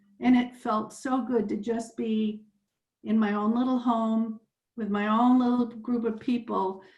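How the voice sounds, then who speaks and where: Over music in the background, a woman speaks in a monotone, flat intonation. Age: 70s. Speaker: participant in interfaith climate discussion. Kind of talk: sharing personal story in group discussion.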